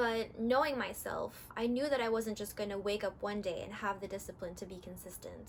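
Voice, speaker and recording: A woman with an American accent at a moderate pace, noticeable background noise behind her. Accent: very American. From California, US. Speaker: fitness vlogger. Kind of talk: casual vlog talk.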